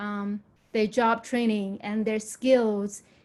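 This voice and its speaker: At a fairly slow pace, a woman with fairly high pitch speaks in a monotone, flat manner on a very clean recording with a silent background. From Myanmar. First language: Burmese or another language of Myanmar. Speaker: nursing graduate, former community college student. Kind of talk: testimony at a town hall.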